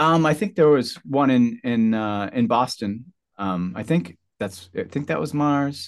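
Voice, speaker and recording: This man has a plain, everyday voice at a medium pitch, speaking at a fairly slow pace with lively intonation on a very clean recording with a silent background. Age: 40s. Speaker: guitarist and sound healer. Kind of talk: casual interview.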